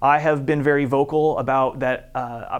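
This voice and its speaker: On a very clean recording with a silent background, a man speaks at a fairly high pitch and a moderate pace. His intonation is monotone and flat. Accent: Midwestern American. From Iowa, US Midwest. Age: 40s. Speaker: city council candidate. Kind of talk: campaign statement. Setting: studio.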